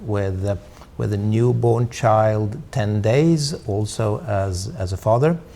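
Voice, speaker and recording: The speaker talks at a very slow pace with a Swedish accent. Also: man. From Sweden. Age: 60s. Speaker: diplomat. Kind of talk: interview. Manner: halting, many fillers.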